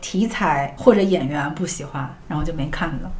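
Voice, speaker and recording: Lively intonation marks a woman's moderate-paced speech, heard over noticeable background noise. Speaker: podcast host. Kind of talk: casual chat about TV shows.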